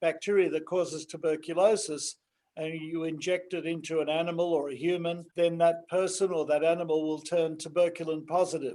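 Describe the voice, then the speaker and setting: Flat and monotone, a man with an Australian accent speaks in a high voice with a dark, mellow tone at a moderate pace. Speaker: pharmaceutical company founder. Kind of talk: interview.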